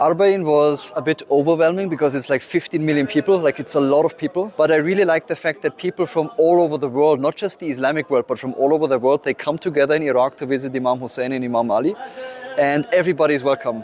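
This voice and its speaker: With a German accent, a man talks at a very fast pace in a fairly high pitch, showing ordinary pitch variation, in a dry, close sound with no echo. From Germany. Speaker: photographer. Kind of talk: interview answer. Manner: hesitant, with fillers and repeats.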